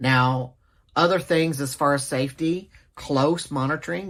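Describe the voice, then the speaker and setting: A speaker with a Southern US accent comes through on a very clean recording with a silent background. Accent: Southern twang. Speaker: nursing instructor. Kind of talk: lecture. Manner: casual, halting with fillers.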